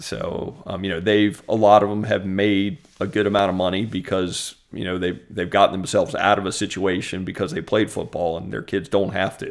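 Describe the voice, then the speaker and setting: An ordinary speaking voice with an American accent, fairly even intonation, a moderate pace and hardly any pauses. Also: man, fairly low pitch for a man. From central Virginia (Richmond, Ashland). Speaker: lawyer and adjunct law teacher. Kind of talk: casual interview.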